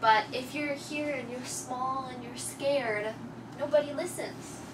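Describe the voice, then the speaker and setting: Ordinary pitch variation comes through noticeable background noise and audible room echo. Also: woman. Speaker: English teacher. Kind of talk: classroom lesson. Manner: loud; slow.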